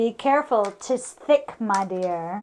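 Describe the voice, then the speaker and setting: A woman speaks at a fairly slow pace in a put-on character voice pitched fairly high. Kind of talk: comic overacting. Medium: solo performance. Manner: mock-archaic, cackling.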